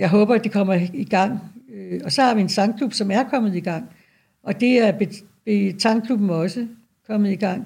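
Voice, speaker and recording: A woman speaks at a medium pitch with ordinary pitch variation and a dark, mellow, somewhat breathy tone. Her fairly slow delivery has long, frequent pauses. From Denmark, North Zealand. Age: 70s. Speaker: retired nurse. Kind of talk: interview. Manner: halting.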